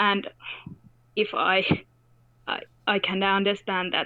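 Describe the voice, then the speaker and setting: A woman talks with a non-native accent. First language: not English. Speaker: caller. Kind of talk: casual chat. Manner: halting, searching for words.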